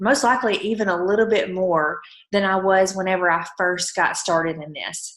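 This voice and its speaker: Medium in pitch, a woman's voice shows ordinary pitch variation. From Alabama. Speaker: network marketing promoter. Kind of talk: motivational team call.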